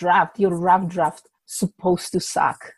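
A woman is speaking. She has a Czech accent. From Czech Republic. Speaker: indie author. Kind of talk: casual interview. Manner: hesitant with fillers.

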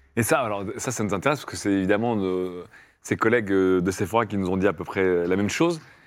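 A man talks at a very fast pace with a fairly low pitch and ordinary pitch variation in a very clean recording with a silent background. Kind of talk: casual chat, improvised role-play game.

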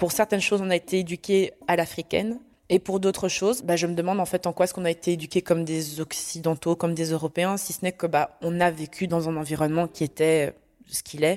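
In a very clean recording with a silent background and a dry, close sound with no echo, a woman with an unremarkable speaking voice talks at a fairly quick pace, her fairly low pitch held in fairly even intonation. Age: young. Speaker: adoptee sharing her story. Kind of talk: personal testimony in conversation.

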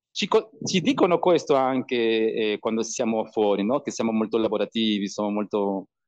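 Heard dry and close with no echo, a man at medium pitch talks in a Spanish accent at a moderate pace with ordinary pitch variation. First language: Spanish (speaking Italian). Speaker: bartender and video podcaster. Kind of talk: casual interview chat. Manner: halting, repeats words while searching Italian.

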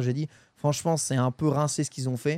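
In an ordinary speaking voice, a man talks at a fairly quick pace with a fairly high pitch. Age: 30s. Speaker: gaming podcast host. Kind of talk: casual chat.

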